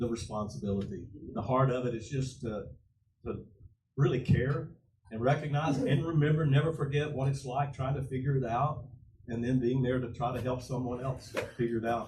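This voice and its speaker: The speaker talks at a moderate pace with a somewhat breathy voice, ordinary pitch variation, and audible room echo. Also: man. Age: 70s. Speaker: pastor. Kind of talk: panel discussion. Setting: church with audience.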